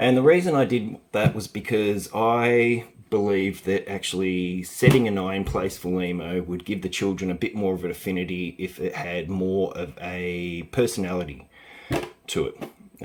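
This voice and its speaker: A man's very deep, low voice with an Australian accent. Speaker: early years educator. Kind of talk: tutorial. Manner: halting, with fillers.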